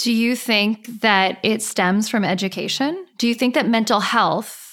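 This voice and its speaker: In an American accent, a woman speaks fairly slowly at a medium pitch. Her pitch varies in an ordinary way, on a very clean recording with a silent background. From Southern California, Orange County. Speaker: podcast host. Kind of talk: interview conversation.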